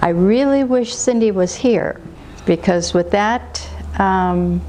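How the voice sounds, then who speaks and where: Very slowly, a woman speaks as noticeable background noise carries on behind her. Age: 60s. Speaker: patient giving testimonial, medical field worker. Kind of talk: testimony. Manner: halting.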